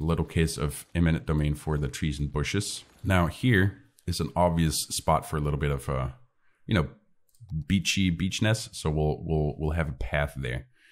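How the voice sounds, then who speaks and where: A man speaks at a moderate pace in a very deep, low voice with vocal fry and ordinary pitch variation, on a very clean recording with a silent background. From Northern Europe. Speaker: gaming YouTuber. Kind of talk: gameplay commentary. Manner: casual, thinking aloud with hesitations.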